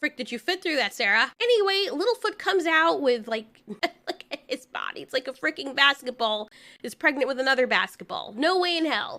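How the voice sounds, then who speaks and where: Raised and projected, a woman's high voice comes through bright and sharp with an animated tone. She talks at a fairly quick pace with hardly any pauses and very wide pitch swings. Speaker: video reviewer. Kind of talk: commentary review.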